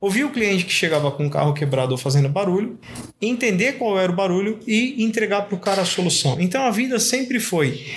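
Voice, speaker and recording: A man's high-pitched voice at a fairly quick pace, with lively intonation and noticeable background noise. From Brazil, São Paulo metro area. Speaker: graphic designer. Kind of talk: casual interview chat.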